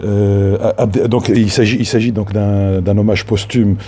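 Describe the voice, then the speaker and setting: Against noticeable background noise, a man with a Tunisian accent speaks at a fairly low pitch with fairly even intonation. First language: Tunisian Arabic (speaking French). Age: 50s. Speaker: filmmaker. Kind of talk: spoken tribute. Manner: halting.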